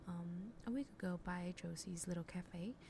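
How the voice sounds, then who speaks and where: A dark, mellow tone carries a somewhat breathy quality. Pitch varies in an ordinary way, and the pace is moderate. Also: woman. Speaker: gaming youtuber. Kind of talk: gameplay commentary. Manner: hesitant, many fillers.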